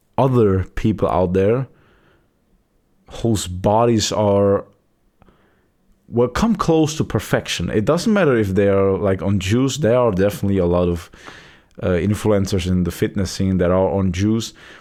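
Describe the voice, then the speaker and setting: A man with a non-native accent speaks at a moderate pace in a fairly low voice, with ordinary pitch variation, very even loudness, and long, frequent pauses. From Europe. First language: not English. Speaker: vlogger. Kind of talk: casual monologue. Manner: halting, many repeated words.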